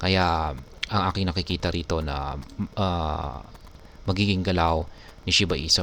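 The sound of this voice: A man with a low pitch and vocal fry, a fairly bright tone and a moderate pace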